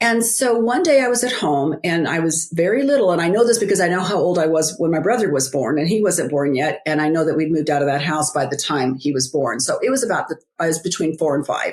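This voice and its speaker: A woman at a fairly low pitch with very wide pitch swings, very fast and with hardly any pauses, over noticeable background noise. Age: 60s. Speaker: author and biblical life coach. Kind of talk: interview testimony. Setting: podcast interview.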